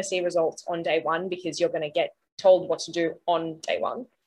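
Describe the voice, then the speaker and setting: A woman with an Australian accent, medium in pitch, at a moderate pace. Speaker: sleep expert and author. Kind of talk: casual interview chat.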